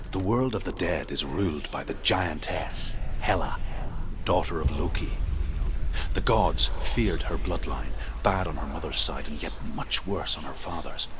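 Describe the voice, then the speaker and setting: A man speaks in a put-on character voice at a moderate pace. Loud background noise runs behind him. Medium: game stream. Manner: solemn, measured.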